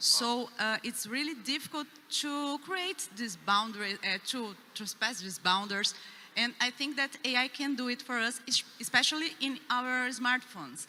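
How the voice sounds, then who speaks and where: Over noticeable background noise, a woman with a Portuguese accent speaks at a moderate pace, her high pitch carrying lively intonation. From Brazil. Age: young. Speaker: youth leader, panelist. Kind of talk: panel discussion.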